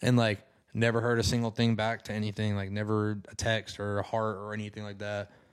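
Fairly low male voice in a flat monotone, fairly quick pace, very clean recording with a silent background. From northern Alabama. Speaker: music producer. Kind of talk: casual interview chat.

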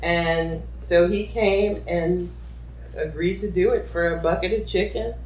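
A woman with an American accent speaks at a fairly slow pace, and room echo is audible. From New Orleans, US South. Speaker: activist and filmmaker. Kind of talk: oral history interview.

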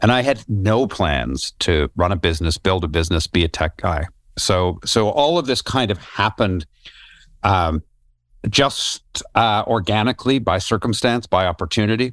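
A man with a Canadian accent and an unremarkable speaking voice uses lively intonation at very even loudness, the sound dry and close with no echo. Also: fairly low pitch for a man, moderate pace, very clean recording, silent background. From Canada, Toronto. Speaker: tech company founder and former broadcast journalist. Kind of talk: interview.

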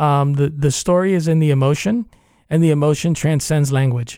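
A man talks at a fairly quick pace in a dark, mellow tone. His pitch is fairly high, with fairly even intonation. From New York, Cuban-American family. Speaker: theater artistic director. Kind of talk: radio interview.

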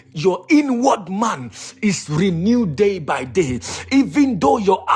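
Against noticeable background noise, a man's voice makes very wide pitch swings. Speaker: preacher. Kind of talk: sermon. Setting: online prayer meeting.

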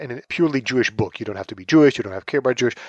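A man speaks at medium pitch with lively intonation. The recording is very clean with a silent background, and the sound is dry and close with no echo. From Israel, Tel Aviv. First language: Hebrew. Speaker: author and pop culture writer. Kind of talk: interview.

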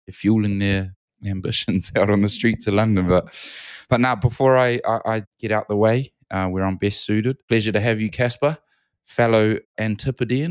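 A man talks at a moderate pace with a New Zealand accent. The sound is dry and close, with no echo. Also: very clean recording, silent background. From New Zealand, Auckland. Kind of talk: casual chat.

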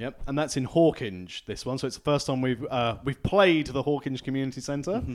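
Using a plain, everyday voice, a man talks at a medium pitch and a moderate pace with ordinary pitch variation and hardly any pauses. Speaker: podcast host. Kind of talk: casual chat.

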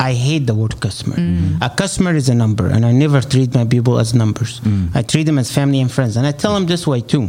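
Against noticeable background noise, a man with an Egyptian accent speaks at medium pitch and a very fast pace, with hardly any pauses, very even loudness and lively intonation. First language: Arabic. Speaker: real estate agent. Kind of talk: interview.

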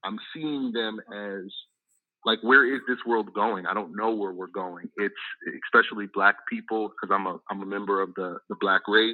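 A man keeps his intonation fairly even, speaking at a moderate pace in a fairly low pitch. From US. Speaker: documentary producer. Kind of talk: call-in radio. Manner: halting.

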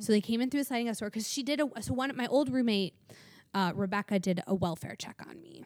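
The pace is very fast. Loudness swings widely. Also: woman, fairly high pitch for a woman, ordinary pitch variation. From US Midwest. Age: 30s. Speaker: recovering alcoholic and AA sponsor. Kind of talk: testimony.

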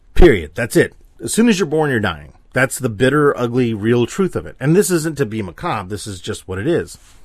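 A man with a medium pitch and vocal fry talks at a fairly quick pace, his pitch swinging very widely. The recording is very clean with a silent background. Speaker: podcaster and artist. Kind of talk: solo monologue podcast. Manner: rambling, filler-heavy.

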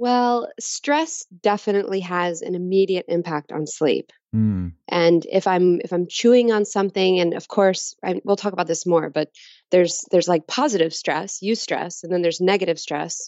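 A plain, everyday voice, a woman at medium pitch and moderate pace with an American accent. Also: ordinary pitch variation. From Texas. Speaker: designer, author and painter. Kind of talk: interview.

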